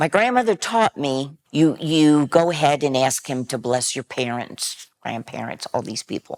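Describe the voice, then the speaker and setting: Speaking with an American accent, a woman uses a very deep, low pitch at a fairly slow pace. The sound is dry and close, with no echo. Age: 70s. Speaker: interviewee. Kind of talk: personal testimony.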